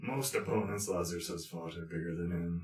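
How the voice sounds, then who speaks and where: A man uses a put-on character voice, very deep and low in pitch. He speaks at a fairly quick pace. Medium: actual play. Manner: formal, third-person.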